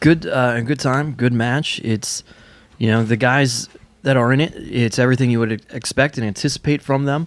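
A man with an ordinary speaking voice talks at a medium pitch and a moderate pace, keeping his intonation fairly even. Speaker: wrestling podcast host. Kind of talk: casual podcast discussion.

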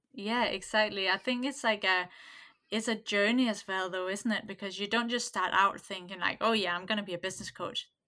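The tone is bright and sharp with fairly even intonation and a fairly quick pace, in a very clean recording with a silent background. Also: woman, medium pitch for a woman. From Denmark. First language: Danish. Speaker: cafe owner and business coach. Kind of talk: casual interview.

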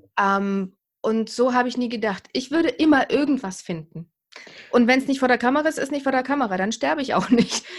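A woman speaks with a high pitch at a fairly quick pace. Her intonation is lively. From East Germany. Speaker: TV and radio presenter, camera coach. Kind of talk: interview. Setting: remote recording.

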